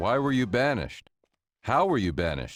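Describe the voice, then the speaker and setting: This is a put-on character voice with very wide swings in pitch. It moves at a moderate pace. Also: man, medium pitch for a man. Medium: video game.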